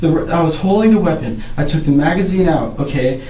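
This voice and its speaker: With noticeable background noise and audible room echo, a man with an American accent speaks at a fairly high pitch with lively intonation. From northern California (Eureka). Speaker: murder suspect, soldier. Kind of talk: police interrogation. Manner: halting, agitated.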